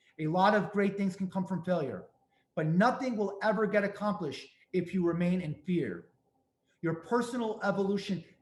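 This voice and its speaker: A man with a strong New York accent and a high pitch, at a moderate pace with ordinary pitch variation. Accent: thick New York. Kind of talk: webinar presentation.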